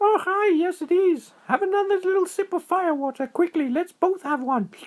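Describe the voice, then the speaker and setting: Squeaky and extremely high, a put-on character voice moves along at a moderate pace. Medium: read story. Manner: starts every line with "oh, hi".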